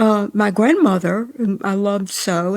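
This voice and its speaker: A woman's voice with a Mississippi accent and ordinary pitch variation. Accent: US Southern, Mississippi. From northern Mississippi. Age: 80s+. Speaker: novelist. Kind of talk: interview.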